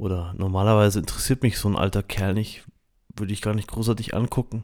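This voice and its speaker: At a fairly quick pace, a man talks with fairly even intonation at a fairly low pitch. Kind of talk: personal reflection and guided meditation, spoken directly to listeners. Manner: calm, reflective, gentle, with hesitant fillers.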